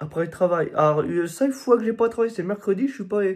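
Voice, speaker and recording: This man's voice is high in pitch. Recorded very cleanly, the clip has a silent background. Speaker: vlogger. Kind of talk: casual vlog talk. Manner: hesitant, many fillers.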